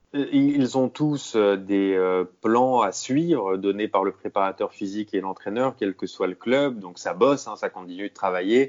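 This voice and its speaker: At a fairly slow pace, a man speaks with ordinary pitch variation. His voice sits fairly low. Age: 30s. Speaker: sports journalist. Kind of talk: interview. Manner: halting, with many repeated words.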